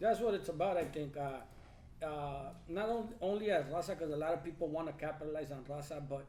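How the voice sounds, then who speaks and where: Over audible room echo, a man with a dark, mellow tone talks fairly quickly at a fairly high pitch with ordinary pitch variation. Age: 30s. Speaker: lowrider club member. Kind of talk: casual chat.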